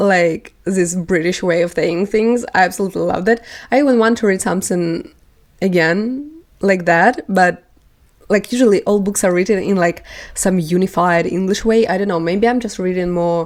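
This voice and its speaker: A woman's medium-pitched voice with a non-native accent, at a moderate pace and with ordinary pitch variation. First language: not English. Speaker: book vlogger. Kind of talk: casual chat. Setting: home, on couch. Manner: hesitant, many fillers.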